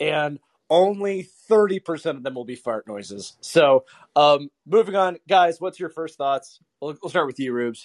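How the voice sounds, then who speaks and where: A man with a normal speaking voice and a fairly high pitch talks at a fairly slow pace, with lively intonation and big swings in loudness, in a dry, close sound with no echo. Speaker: podcast host. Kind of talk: casual chat. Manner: excitable.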